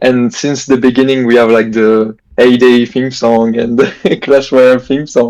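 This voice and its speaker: A man with a French accent speaks at a fairly slow pace and a medium pitch. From France. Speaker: gamer. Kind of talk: casual chat.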